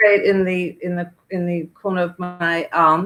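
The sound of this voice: A woman talks at a moderate pace with a fairly bright tone. Her pitch is fairly low and her intonation fairly even.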